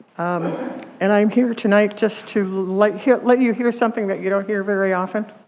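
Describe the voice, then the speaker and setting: Over noticeable background noise, a woman talks fairly quickly at a medium pitch with fairly even intonation. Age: 70s. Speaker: public commenter. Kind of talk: public comment at council meeting. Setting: city council meeting.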